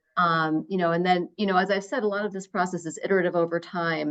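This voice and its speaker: A woman speaks very fast with an American accent. Her pitch is fairly low. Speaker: researcher presenting to a state education council. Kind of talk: presentation at a public meeting. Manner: many fillers and repetitions.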